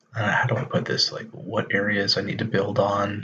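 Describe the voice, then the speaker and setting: A quiet male voice. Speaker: stock market video creator. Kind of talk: casual live stream tutorial. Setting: late night live stream. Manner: speaking quietly.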